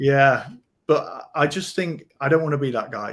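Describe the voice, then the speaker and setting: Recorded very cleanly against a silent background, a man with a British accent speaks at a fairly slow pace. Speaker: podcast co-host, rebate specialist. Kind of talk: casual chat. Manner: halting, many fillers and repeats.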